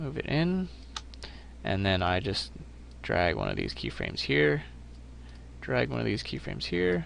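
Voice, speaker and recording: A man with a very deep, low pitch speaks at a moderate pace, using lively intonation. Long, frequent pauses break his speech, and the room echo is audible. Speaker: animation tutorial host. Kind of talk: tutorial.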